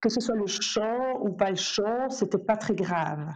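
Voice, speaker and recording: Lively intonation at a very slow pace. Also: woman. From Belgium. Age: 40s. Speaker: soprano singer and music teacher. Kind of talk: casual interview.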